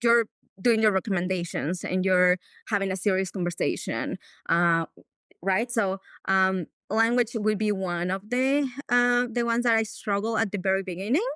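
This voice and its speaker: With a Mexican accent, a woman speaks at medium pitch and a moderate pace with ordinary pitch variation, a bright, sharp tone and very even loudness, in a dry, close sound with no echo on a very clean recording with a silent background. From Mexico. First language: Spanish. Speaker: veterinarian. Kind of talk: casual chat.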